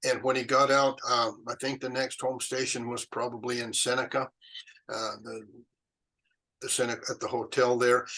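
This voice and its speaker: A man talks at a moderate pace in a medium pitch, with a flat, monotone delivery. His tone is bright and sharp. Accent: Western US. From Utah, USA. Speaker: retired chemist and Pony Express historian. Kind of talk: interview answer. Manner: hesitant, conversational.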